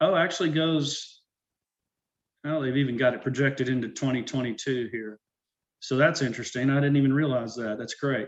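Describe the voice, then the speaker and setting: This man's voice sits at a fairly high pitch. The intonation is fairly even throughout. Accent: Arkansas. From Arkansas. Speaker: urban forester. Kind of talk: presentation. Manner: casual, with frequent fillers.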